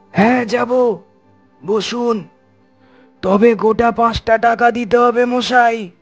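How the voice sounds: A man's cartoonish character voice at an extremely high pitch, very slow in pace with fairly even intonation, faint music in the background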